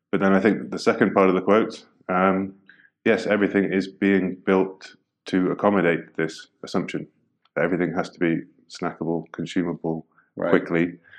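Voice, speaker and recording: A man with a British accent talks at a moderate pace in a very deep, low pitch and a monotone, flat intonation. His loudness swings widely against a quiet background. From Britain. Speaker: UX designer. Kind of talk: interview. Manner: hesitant, many fillers.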